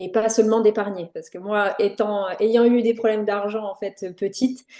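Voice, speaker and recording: A woman speaks at medium pitch with a dark, mellow tone. Her pace is moderate. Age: 30s. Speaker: entrepreneur, brand designer. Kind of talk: podcast interview. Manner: hesitant, many fillers.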